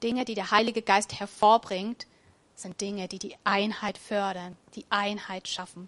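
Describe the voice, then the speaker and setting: Over a quiet background, a woman speaks at a medium pitch. She keeps a fairly slow pace. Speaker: preacher. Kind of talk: sermon in a church service, warm and conversational, with a closing prayer. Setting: church. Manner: animated, enthusiastic and upbeat; casual, plain-spoken, encouraging, with a rhetorical 'oder?'.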